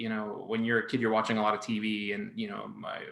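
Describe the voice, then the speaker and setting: This man has a Spanish accent and a medium pitch. He talks at a fairly quick pace. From Miami, Florida, US (born in Colombia). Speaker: artist and children's book author. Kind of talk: interview conversation.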